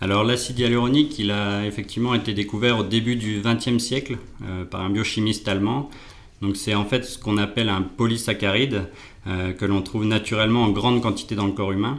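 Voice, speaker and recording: Speaking at a fairly quick pace, a man keeps a fairly low pitch and fairly even intonation. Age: 30s. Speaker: chemical engineer and hyaluronic acid industry consultant. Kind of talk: expert interview. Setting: on location in the guest's offices. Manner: hesitant, with frequent fillers and repetitions.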